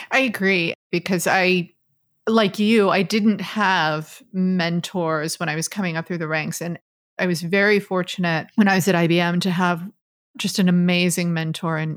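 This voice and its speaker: On a very clean recording with a silent background, a woman with an American accent speaks fairly slowly. Hers is an ordinary speaking voice, fairly low, with fairly even intonation. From Texas, Dallas. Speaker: podcast host. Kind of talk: interview.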